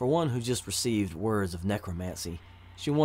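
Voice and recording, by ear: The voice is reading aloud in a natural voice. Its intonation is lively.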